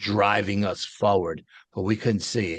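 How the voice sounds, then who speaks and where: Recorded dry and close with no echo over a quiet background, a man talks at a moderate pace with a fairly low pitch. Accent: American. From Detroit, Michigan. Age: 60s. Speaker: paranormal eyewitness. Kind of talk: interview storytelling. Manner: animated.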